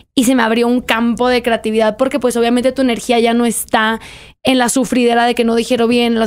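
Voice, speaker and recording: A woman talks at a very fast pace with a fairly high pitch. Her intonation stays monotone and flat. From Mexico, Monterrey; Nuevo León, Mexico. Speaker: writer; podcast guest. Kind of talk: interview. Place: studio. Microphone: studio mic.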